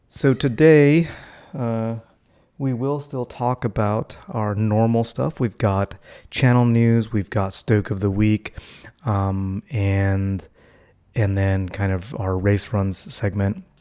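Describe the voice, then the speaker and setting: In a very clean recording with a silent background, a soft-spoken man talks at a very slow pace in a dark, mellow tone with ordinary pitch variation. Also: fairly low pitch for a man. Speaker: vlogger. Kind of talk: casual vlog monologue. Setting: at home, family asleep. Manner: soft-spoken, talking quietly.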